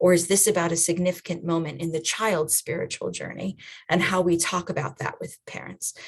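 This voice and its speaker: A woman's somewhat breathy, fairly low-pitched voice with an American accent, fairly quick in pace and fairly even in intonation. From USA. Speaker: children's and family ministry trainer. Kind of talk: online training talk. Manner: conversational.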